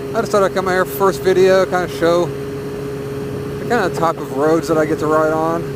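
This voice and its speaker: Over noticeable background noise, a man with an American accent talks at a moderate pace, his fairly high pitch showing ordinary pitch variation. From US South, northern Arkansas. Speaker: motovlogger. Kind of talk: casual vlog monologue while riding. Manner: rambling, hesitant with repetitions.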